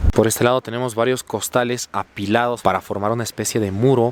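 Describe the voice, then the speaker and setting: Noticeable background noise sits behind a man speaking in an animated tone, the sound dry and close with no echo. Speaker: travel vlogger. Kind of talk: on-location vlog narration. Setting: outdoors by a river.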